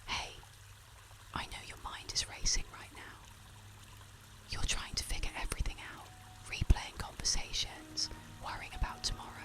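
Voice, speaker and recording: Whispering at a moderate pace with long, frequent pauses, the voice has a calm, soothing tone over music in the background. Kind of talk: soft-spoken faith-based ASMR encouragement, bedtime meditation. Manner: soft-spoken, calm, soothing.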